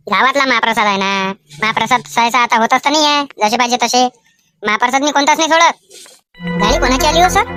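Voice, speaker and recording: In a cartoonish character voice, a woman speaks at a high pitch with lively intonation at a moderate pace, her sound dry and close with no echo, with music in the background. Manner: chatty, inquisitive.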